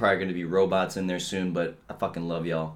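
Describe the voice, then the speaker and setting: This man's pitch is very deep and low. He speaks at a moderate pace with fairly even intonation. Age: 20s. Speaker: podcast host. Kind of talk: casual monologue. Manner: casual, rambling with fillers.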